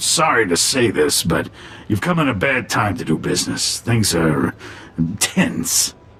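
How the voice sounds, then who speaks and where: A man's raspy put-on character voice over light background noise. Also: fairly low pitch for a man, moderate pace. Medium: video game. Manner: smooth, ingratiating.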